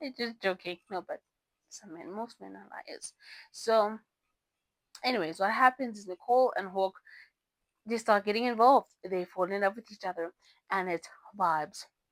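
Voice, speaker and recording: Animated in tone, a woman at medium pitch speaks at a moderate pace with ordinary pitch variation, big swings in loudness and long, frequent pauses, in a dry, close sound with no echo. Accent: non-native. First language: not English. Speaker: book reviewer. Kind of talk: casual book review vlog. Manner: halting, self-correcting.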